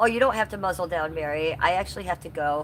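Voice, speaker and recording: A woman talks very fast with vocal fry and ordinary pitch variation. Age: 50s. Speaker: live streamer. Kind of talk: casual chat. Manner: casual, halting with fillers.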